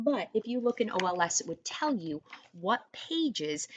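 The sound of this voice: The reading voice here is unforced.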